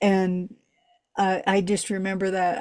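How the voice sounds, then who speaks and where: This is a woman speaking. Her pitch is medium. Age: 60s. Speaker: podcast co-host. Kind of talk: casual chat. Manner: halting.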